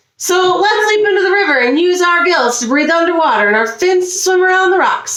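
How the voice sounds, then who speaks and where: A woman's put-on character voice sits at an extremely high pitch. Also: fairly quick pace. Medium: read story.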